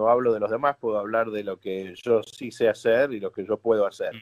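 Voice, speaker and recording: The sound is dry and close with no echo as a man at medium pitch speaks in a flat monotone. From Argentina (Buenos Aires), born in New York. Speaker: rabbi. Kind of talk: interview.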